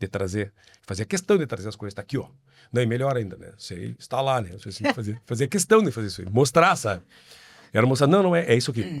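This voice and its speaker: On a very clean recording with a silent background, a man at medium pitch races along at a very fast pace, his pitch swinging very widely and his loudness shifting in big swings. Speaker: traditionalist musician. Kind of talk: podcast interview.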